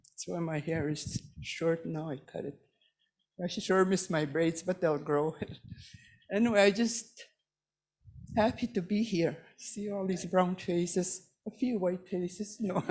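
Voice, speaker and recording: A somewhat breathy woman speaks at a medium pitch and a fairly slow pace, with ordinary pitch variation and long, frequent pauses. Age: 80s+. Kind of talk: ceremonial remarks. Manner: halting.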